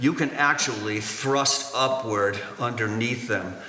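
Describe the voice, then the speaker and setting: Noticeable background noise behind a man's medium-pitched voice. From New Hampshire, New England. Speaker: stone wall builder. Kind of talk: public history lecture. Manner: hesitant, many fillers.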